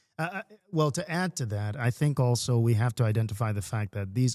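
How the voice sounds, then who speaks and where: A man's medium-pitched voice with a Jamaican accent, dark and mellow in tone, at a fairly quick pace, in a dry, close sound with no echo and a very clean recording against a silent background. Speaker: podcast co-host. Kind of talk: casual chat.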